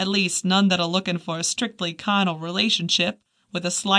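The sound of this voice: Intonation stays fairly even in an unforced reading voice. Behind it, the background is quiet.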